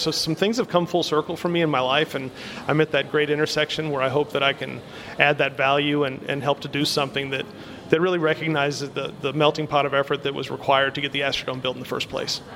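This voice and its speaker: Over noticeable background noise, a man with a fairly high pitch talks at a very fast pace in a monotone, flat intonation. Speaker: guest, grandson of former team owner. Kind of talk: radio interview.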